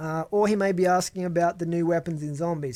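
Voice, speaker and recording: A very fast pace in a Tasmanian accent. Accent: Australian, Tasmanian. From Australia, Tasmania. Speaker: gaming YouTuber. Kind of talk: Q&A video answering viewer questions. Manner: casual, hesitant with fillers.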